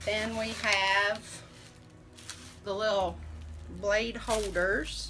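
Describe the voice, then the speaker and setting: A woman at a very slow pace, amid noticeable background noise. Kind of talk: casual talk to camera.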